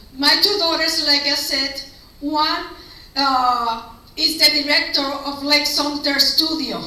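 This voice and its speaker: A woman with a non-native accent uses a raised, projected voice at a high pitch. Audible room echo and noticeable background noise surround her. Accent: foreign. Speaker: school board candidate. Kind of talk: campaign speech.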